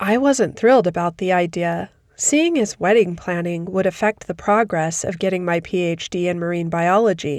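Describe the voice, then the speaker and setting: A woman with an ordinary speaking voice at a fairly low pitch, with ordinary pitch variation, a moderate pace, hardly any pauses, and a very clean recording with a silent background. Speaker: narrator. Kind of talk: horror story narration.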